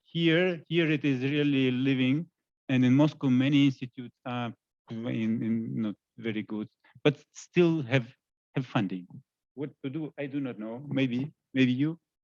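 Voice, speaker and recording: A man with a Russian accent speaks at a fairly slow pace in a medium pitch. His speech has long, frequent pauses. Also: ordinary pitch variation. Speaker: scientist. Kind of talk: panel discussion. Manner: halting.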